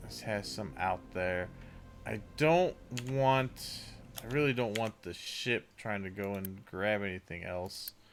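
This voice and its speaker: Music plays in the background as the speaker talks at a very slow pace. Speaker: video game streamer. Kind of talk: live gameplay commentary. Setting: live stream. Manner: mumbling at times; casual, hesitant with fillers.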